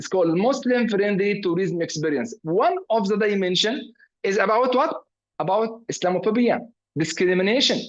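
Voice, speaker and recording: With an Arabic accent, a man speaks at a moderate pace in a high pitch, his intonation lively. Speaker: professor. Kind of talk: lecture. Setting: video call. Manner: halting, many fillers.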